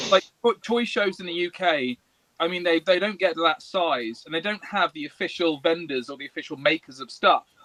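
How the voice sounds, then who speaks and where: In an English accent, the speaker talks at a fairly quick pace with ordinary pitch variation and big swings in loudness, recorded dry and close with no echo. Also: man, high pitch for a man. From England. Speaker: toy maker. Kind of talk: casual chat. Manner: animated.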